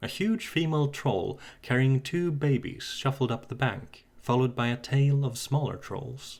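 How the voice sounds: This is a natural reading voice. The pitch varies in an ordinary way.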